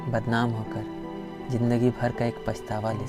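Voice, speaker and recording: This man's fairly low voice is heard with music playing behind it. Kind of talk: motivational spoken-word monologue.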